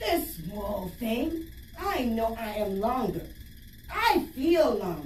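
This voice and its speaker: In a put-on character voice, a speaker hisses at a fairly high pitch and a very slow pace, with a slight echo and light background noise. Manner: hissing, boastful.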